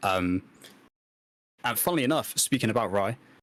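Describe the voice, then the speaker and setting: Over a silent background in a very clean recording, a man talks with a fairly low pitch. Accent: British. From UK. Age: 20s. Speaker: podcast co-host and streamer. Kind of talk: casual podcast chat. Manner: halting, many fillers.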